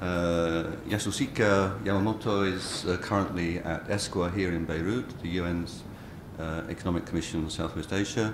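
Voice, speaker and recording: A man with a very deep, low pitch and fairly even intonation at a moderate pace, over noticeable background noise. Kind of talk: conference introduction. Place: hall. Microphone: podium.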